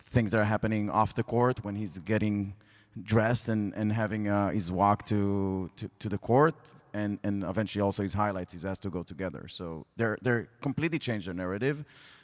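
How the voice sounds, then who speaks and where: In an Israeli accent, a man talks at a fairly quick pace and a fairly low pitch with ordinary pitch variation, on a very clean recording with a silent background and a dry, close sound with no echo. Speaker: sports media executive. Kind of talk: panel discussion.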